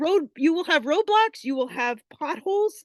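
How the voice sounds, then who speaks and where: The speaker has a Canadian accent, an animated tone and lively intonation. The sound is dry and close, with no echo. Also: woman. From Canada. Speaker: online business affiliate sharing success story. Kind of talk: testimony. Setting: video call.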